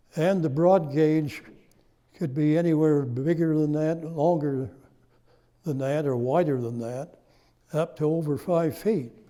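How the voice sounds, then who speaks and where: A man's fairly high, dark, mellow voice with an American accent, fairly even intonation and a fairly slow pace, with long, frequent pauses and audible room echo. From Cache Valley, Utah. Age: 90s. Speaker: local historian. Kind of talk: lecture. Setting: stage with audience.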